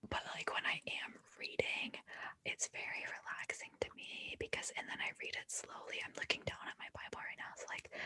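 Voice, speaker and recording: A woman whispers, the sound dry and close with no echo. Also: moderate pace. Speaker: ASMR creator. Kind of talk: interview answer. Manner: soft-spoken.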